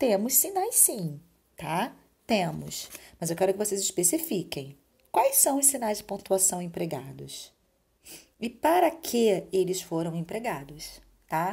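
A somewhat breathy woman's voice with very wide pitch swings and long, frequent pauses. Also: medium pitch for a woman, fairly slow pace. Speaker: school teacher. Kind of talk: recorded remote lesson.

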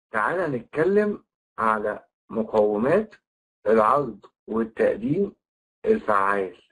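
Speaking very slowly, a man leaves long pauses again and again. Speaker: trainer. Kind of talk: online lecture.

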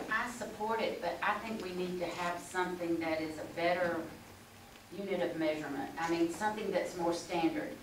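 The speech moves at a moderate pace with ordinary pitch variation. Noticeable background noise and audible room echo fill the recording. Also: woman, fairly low pitch for a woman. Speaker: political candidate. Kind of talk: forum answer. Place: meeting room. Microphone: camera far.

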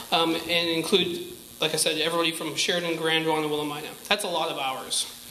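A high-pitched man amid light background noise and audible room echo. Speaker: community campus representative; presenter. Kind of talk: public address. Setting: stage with audience. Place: hall. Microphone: handheld.

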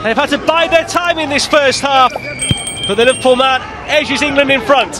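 Against crowd noise, a man uses a raised, projected voice at an extremely high pitch, animated in tone with ordinary pitch variation. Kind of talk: sports commentary, live play-by-play. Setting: match commentary. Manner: fast, fluent, and animated, calling each pass as it happens.

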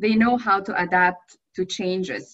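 With a quiet background, a woman talks at a very slow pace and ordinary pitch variation. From Egypt. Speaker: aromatherapist. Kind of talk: lecture. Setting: video call. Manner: halting. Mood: enthusiastic, earnest. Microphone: webcam.

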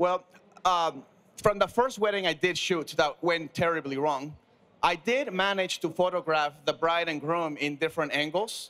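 A man talks in a bright, sharp tone. His pitch varies in an ordinary way. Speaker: panelist. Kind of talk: panel discussion anecdote. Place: studio. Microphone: handheld.

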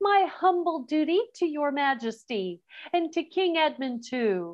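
A woman uses a put-on character voice, shrill and high in pitch. She speaks at a fairly slow pace. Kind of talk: courtly, formal.

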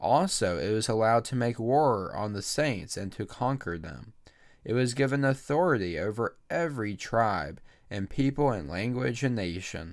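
This man talks at a moderate pace with lively intonation. His pitch is medium, and the background is quiet. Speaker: church leader. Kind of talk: fervent prayer. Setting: church livestream. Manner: earnest, heartfelt; measured, reverent. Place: home room. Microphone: studio mic.

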